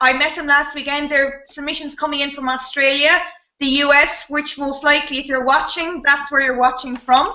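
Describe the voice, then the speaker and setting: With an Irish accent, a woman talks at a fairly quick pace in a high voice. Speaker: improv comedian and show host. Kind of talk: live online improv show hosting. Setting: video call. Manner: animated.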